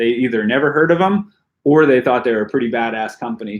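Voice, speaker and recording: This is a plain, everyday voice, moving at a fairly quick pace with ordinary pitch variation. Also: man. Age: 40s. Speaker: pro mountain biker. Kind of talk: live stream Q&A chat. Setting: home basement. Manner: casual, filler-heavy.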